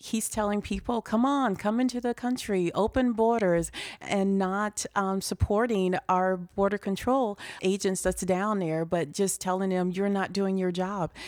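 A normal speaking voice moves at a fairly slow pace, with very even loudness and fairly even intonation. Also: woman, medium pitch for a woman. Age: 50s. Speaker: political candidate. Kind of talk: political speech.

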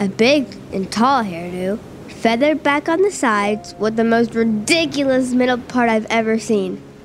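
A woman with a fairly high pitch and lively intonation talks while noticeable background noise plays. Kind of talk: literary audiobook reading, first-person fantasy narration performed with dramatic flair. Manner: animated, urgent, tense, building suspense.

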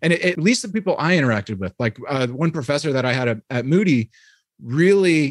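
A man talks at a very fast pace with lively intonation, in a dry, close sound with no echo. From New York (Hyde Park, Dutchess County). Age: 30s. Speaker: former theologian and writer. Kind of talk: casual interview.

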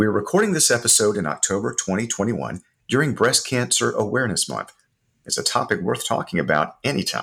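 A man at a fairly quick pace on a very clean recording with a silent background. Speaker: corporate podcast host. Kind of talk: interview conversation.

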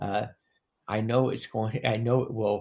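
A man speaks at a fairly low pitch with vocal fry. His intonation is monotone and flat. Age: 60s. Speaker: formerly incarcerated man, hospice advocate. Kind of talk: casual interview conversation.

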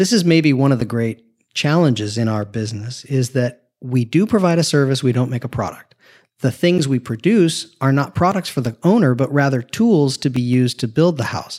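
In a plain, everyday voice, a man with an American accent talks at a moderate pace, his medium pitch carried by lively intonation, on a very clean recording with a silent background. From Southern California. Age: 50s. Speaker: architect. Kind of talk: interview, casual conversation. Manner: humorous, conversational.

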